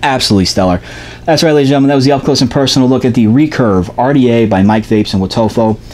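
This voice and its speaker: A man talks at a very fast pace with a medium pitch and ordinary pitch variation. His loudness stays very even over noticeable background noise. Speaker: vape product reviewer. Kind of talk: product review video. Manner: animated.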